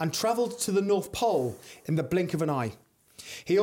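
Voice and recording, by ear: A text is being read out. The delivery is natural, like reading aloud.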